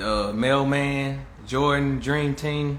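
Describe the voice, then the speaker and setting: A man's voice with audible room echo. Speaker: live streamer. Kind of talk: casual monologue.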